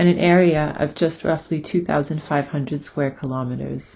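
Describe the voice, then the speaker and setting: A woman's fairly low voice with vocal fry and ordinary pitch variation. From US, New York City. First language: German. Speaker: education researcher. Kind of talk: recorded academic presentation.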